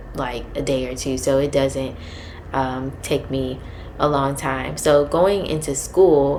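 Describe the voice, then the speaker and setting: A soft-spoken woman's very slow speech, very deep and low in pitch, with fairly even intonation, audible room echo, and noticeable background noise. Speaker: vlogger, grad student and data analyst. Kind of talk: casual advice vlog. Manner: halting, many fillers.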